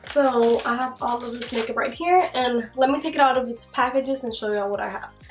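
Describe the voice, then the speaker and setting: Over music in the background, a woman talks at a very fast pace and a high pitch with ordinary pitch variation. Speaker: beauty vlogger. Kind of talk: casual talk to camera. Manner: chatty, casual.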